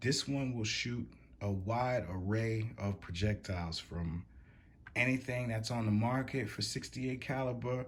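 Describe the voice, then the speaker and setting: A somewhat breathy man speaks at a fairly slow pace with fairly even intonation. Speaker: gun reviewer. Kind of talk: product review tutorial. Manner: casual.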